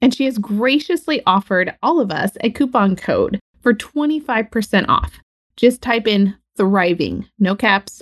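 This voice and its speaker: Very slowly and somewhat breathily, a woman speaks at a fairly high pitch with lively intonation, in a dry, close sound with no echo. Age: 30s. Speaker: podcast host, birth work educator. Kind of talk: interview. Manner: animated.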